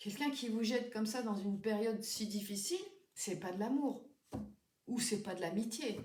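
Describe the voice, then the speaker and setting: A woman's somewhat breathy, fairly high-pitched voice at a moderate pace, with audible room echo. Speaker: tarot card reader. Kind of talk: tarot reading for viewers. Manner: hesitant, many fillers.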